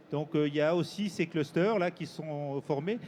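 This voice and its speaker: Ordinary pitch variation colors a man's talking, which holds a moderate pace. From eastern France, Jura or Doubs. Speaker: research institute director, engineering researcher. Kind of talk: panel discussion. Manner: halting.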